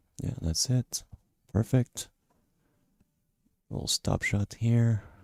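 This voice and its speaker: A man speaks very slowly at a medium pitch, somewhat breathy. The sound is dry and close, with no echo. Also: ordinary pitch variation. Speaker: pool commentator and trick shot artist. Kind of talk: live commentary.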